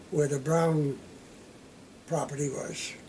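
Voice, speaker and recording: A man with an American accent, fairly high in pitch, somewhat breathy, with a dark, mellow tone, fairly even intonation and a moderate pace, amid audible room echo. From Massachusetts, Hopkinton. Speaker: oral history interviewee. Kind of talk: interview.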